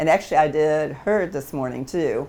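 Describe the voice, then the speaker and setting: A woman talks at a moderate pace with vocal fry. Her pitch is very deep and low. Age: 80s+. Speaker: dog trainer and herding competitor. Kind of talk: interview answer.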